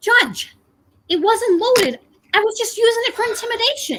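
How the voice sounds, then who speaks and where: At a moderate pace, a put-on character voice speaks at an extremely high pitch. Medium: stage play.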